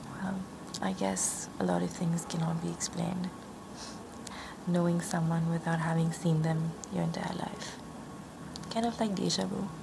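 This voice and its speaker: A woman's calm tone at a moderate pace, broken by long, frequent pauses, with noticeable background noise. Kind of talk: ASMR roleplay, tarot card reading. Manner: soft-spoken, calm.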